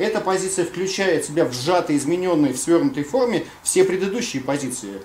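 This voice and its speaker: Light background noise and audible room echo accompany a man speaking at a very fast pace and a high pitch. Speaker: audience member. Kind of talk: seminar discussion question. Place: classroom. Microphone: camera far.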